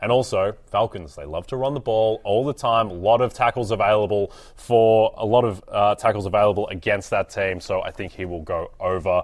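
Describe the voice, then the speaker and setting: A man's fairly low voice at a fairly quick pace, with ordinary pitch variation and hardly any pauses. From Australia. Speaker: fantasy football analyst. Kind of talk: casual chat.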